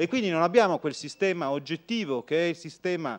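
In an unremarkable speaking voice, a man talks at a fairly quick pace with a fairly high pitch and lively intonation against a quiet background. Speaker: lawyer. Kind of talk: conference talk. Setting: lecture hall with audience. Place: hall. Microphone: podium.

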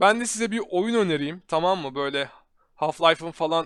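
The sound is dry and close with no echo, on a very clean recording with a silent background. A man talks in an animated tone. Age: 20s. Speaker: tech YouTuber. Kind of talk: live stream chat and PC build tutorial. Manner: casual, animated.

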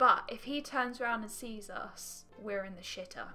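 Faint background music behind a woman with ordinary pitch variation. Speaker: gaming video creator. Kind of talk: casual gameplay commentary. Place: home room.

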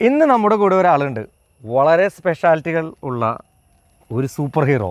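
Against a quiet background with a dry sound with no echo, a man with a fairly high pitch speaks with very wide pitch swings. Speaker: vlogger. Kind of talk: casual talk to camera. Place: forest.

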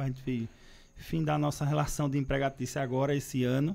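A man talks in a dark, mellow tone at a medium pitch. His intonation stays fairly even. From Pernambuco, Brazil (Recife); Pernambuco, Brazil. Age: 30s. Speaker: politician. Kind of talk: interview. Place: studio. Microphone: studio mic.

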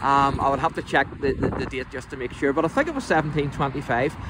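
A man with a Northern Irish accent talks very fast in a fairly high voice, the sound dry with no echo but noticeable background noise behind him. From Northern Ireland. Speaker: local church history presenter. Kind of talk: casual talk to camera. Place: open country. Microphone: phone near.

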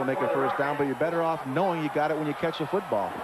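Speaking at a very fast pace, a man with a fairly high pitch is heard over noticeable background noise. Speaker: color analyst, former linebacker. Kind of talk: sports color commentary. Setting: broadcast booth at stadium. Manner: analytical, measured, explanatory.

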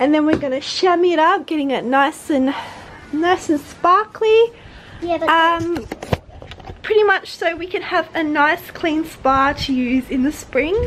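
A woman at an extremely high pitch with ordinary pitch variation and a fairly slow pace, over noticeable background noise. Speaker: family vlogger. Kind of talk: casual vlog chat. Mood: cheerful, upbeat. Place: garden. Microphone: phone near.

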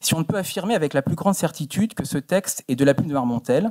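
With a quiet background, a man talks at a fairly quick pace in a dark, mellow tone with ordinary pitch variation. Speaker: musicologist researcher; conference presenter. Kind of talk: conference paper. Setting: auditorium. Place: hall. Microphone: podium.

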